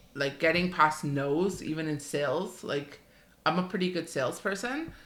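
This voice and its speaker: A woman's fairly low voice with ordinary pitch variation and audible room echo. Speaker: podcast co-host. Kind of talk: casual chat. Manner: fast; chatty.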